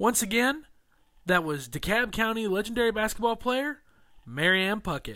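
A man's raised, projected voice, high-pitched with a bright, sharp tone and lively intonation, at a moderate pace in a very clean recording with a silent background. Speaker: podcast host. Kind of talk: interview.

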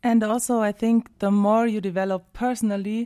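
On a very clean recording with a silent background and a dry, close sound with no echo, a woman speaks in a dark, mellow tone with a German accent. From southern Germany. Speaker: singer and music teacher. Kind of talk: casual interview. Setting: radio studio.

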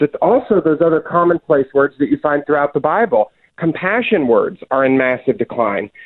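A plain, everyday voice in an American accent moves at a moderate pace. The intonation is lively. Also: man. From US South. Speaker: author and religion writer. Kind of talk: interview.

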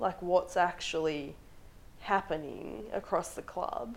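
With an Australian accent, a woman speaks at a fairly low pitch and a fairly slow pace. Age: 20s. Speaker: feminist advocate. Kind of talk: casual interview.

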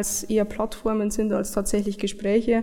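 Fairly high in pitch, this woman's voice has a dark, mellow tone. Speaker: software developer. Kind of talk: interview.

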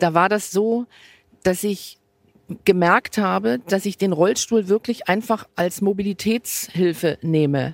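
A woman in a plain, everyday voice speaks at a medium pitch with ordinary pitch variation, the sound dry and close with no echo. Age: 50s. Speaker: football fan, wheelchair user. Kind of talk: casual chat. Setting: stadium stands.

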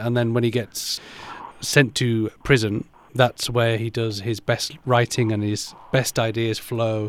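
Someone with a British accent speaks at a very slow pace in a monotone, flat intonation. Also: man, medium pitch for a man. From England, Pakistani background. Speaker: actor. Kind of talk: interview.

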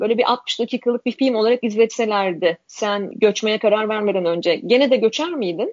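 A woman with an ordinary speaking voice talks at a fairly quick pace, her fairly high pitch showing ordinary variation. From Turkey. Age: 40s. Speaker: generational researcher and author. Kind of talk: interview.

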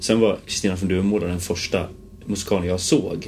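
A man's fairly low voice, a normal speaking voice, at a moderate pace with fairly even intonation. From Gotland, Visby. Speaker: musical theatre performer. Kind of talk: casual interview chat.

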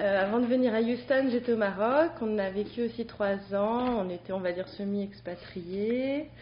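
At a very slow pace, a woman talks at a medium pitch with ordinary pitch variation. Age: 30s. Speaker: stay-at-home mother. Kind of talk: casual chat. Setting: studio.

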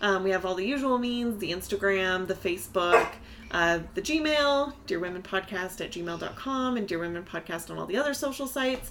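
A woman speaks at a fairly quick pace with an American accent, her pitch swinging very widely. Noticeable background noise runs under her voice. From US, Pacific Northwest. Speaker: podcast host. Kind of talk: casual chat.

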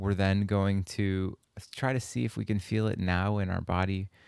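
A man's fairly low-pitched, fairly slow delivery with fairly even intonation, an ordinary speaking voice on a very clean recording with a silent background. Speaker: meditation teacher. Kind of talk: guided meditation. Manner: slow, soothing, gentle pacing with pauses; warm, inviting, encouraging.

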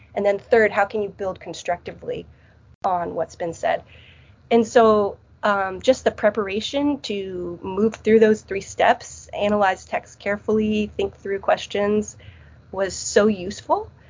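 Talking at a fairly slow pace with a Midwestern accent, a woman has a medium pitch and ordinary pitch variation. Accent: Midwestern-sounding. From US Northeast, New Jersey. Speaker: theology professor. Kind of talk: interview.

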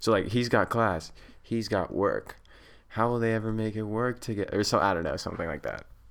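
A man with an American accent and an ordinary speaking voice, fairly low in pitch, with ordinary pitch variation and a fairly quick pace. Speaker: podcast co-host, student abroad. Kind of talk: casual chat.

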